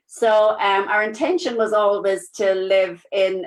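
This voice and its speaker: A woman speaks at a medium pitch with a strong Irish accent. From Ireland. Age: 50s. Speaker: nurse and network marketing business partner. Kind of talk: interview. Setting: live video stream. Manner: casual with many fillers.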